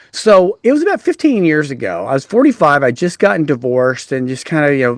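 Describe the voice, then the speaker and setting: A man with an American accent speaks in a normal speaking voice at a moderate pace and a fairly high pitch, on a very clean recording with a silent background. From Texas. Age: 60s. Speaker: author and generational speaker. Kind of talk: casual interview chat.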